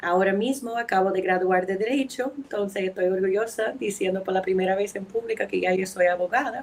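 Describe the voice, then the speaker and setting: Her pitch is medium and varies in an ordinary way. This woman speaks fairly quickly. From New England, US (New Hampshire, Boston). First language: English (speaking Spanish). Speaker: anthropologist and lawyer. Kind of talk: podcast interview. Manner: halting.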